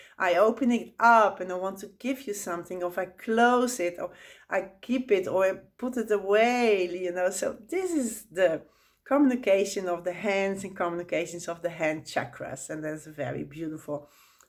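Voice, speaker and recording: A woman with a Dutch accent speaks at a medium pitch and moderate pace, in a very clean recording with a silent background. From Netherlands. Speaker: spiritual teacher. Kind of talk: tutorial. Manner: halting.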